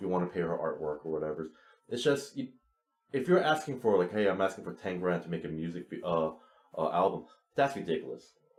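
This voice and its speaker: The speaker has a slight Chinese accent. The intonation is lively and the pace fairly quick. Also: man. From New York City (Woodside, Queens), Chinese immigrant family. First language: Chinese (Cantonese, Toisan). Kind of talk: podcast interview. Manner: blunt.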